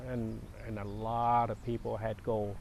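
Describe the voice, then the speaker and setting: With a Vietnamese accent, a man talks at a medium pitch. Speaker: war refugee. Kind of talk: interview. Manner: halting.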